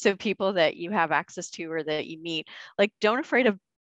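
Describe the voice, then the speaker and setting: A woman with a plain, everyday voice, fairly low pitch, ordinary pitch variation and moderate pace, over a quiet background. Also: dry, close sound with no echo. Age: 40s. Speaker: corporate lawyer. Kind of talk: interview.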